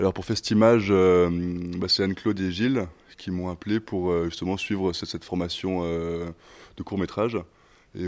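The delivery comes at a fairly quick pace, monotone, with flat intonation. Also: man. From Switzerland. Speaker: actor. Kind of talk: interview.

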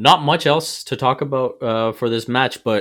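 In a very clean recording with a silent background, a man uses a normal speaking voice at a medium pitch and moderate pace, with ordinary pitch variation. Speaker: football podcast host. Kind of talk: casual sports discussion.

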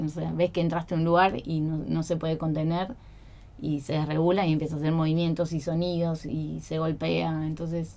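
A woman's normal speaking voice, fairly low-pitched, with fairly even intonation at a fairly quick pace. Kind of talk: radio interview.

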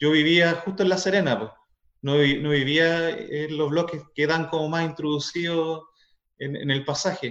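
A man with a Chilean accent speaks at a fairly slow pace in a fairly high pitch. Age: 30s. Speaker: teacher. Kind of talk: casual chat.

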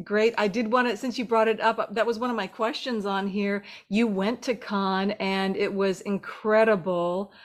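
With an ordinary speaking voice, a woman talks at a moderate pace with hardly any pauses, fairly high in pitch and fairly even in intonation, over a very clean recording with a silent background. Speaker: film podcast host. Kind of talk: interview.

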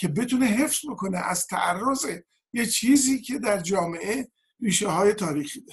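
A man's high-pitched voice at a moderate pace. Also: lively intonation. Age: 70s. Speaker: political activist and sociologist. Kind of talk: panel discussion.

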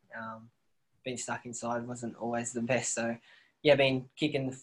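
Speaking with an Australian accent, a man talks fairly slowly at a medium pitch in a monotone, flat delivery, with long, frequent pauses and big swings in loudness. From rural New South Wales, near Bathurst. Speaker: professional footballer. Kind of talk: casual interview.

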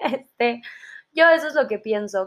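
A woman is talking. Her pace is moderate. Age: 20s. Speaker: podcast host, psychology student. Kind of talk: casual solo podcast monologue.

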